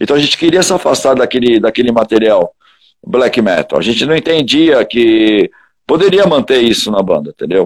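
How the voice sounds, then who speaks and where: A man with an ordinary speaking voice talks at a moderate pace and fairly high pitch, his intonation lively and the sound dry and close with no echo. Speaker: heavy metal singer. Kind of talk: casual interview chat.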